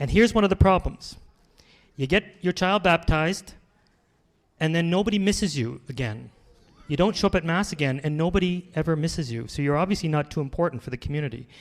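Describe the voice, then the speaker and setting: A man with a high pitch speaks at a very fast pace. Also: ordinary pitch variation. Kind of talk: conference talk with Q&A. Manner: animated.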